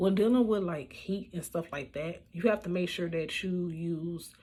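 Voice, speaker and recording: A somewhat breathy woman's voice, fairly low in pitch, with ordinary pitch variation. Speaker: beauty vlogger. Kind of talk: makeup tutorial voiceover. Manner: casual, with many fillers.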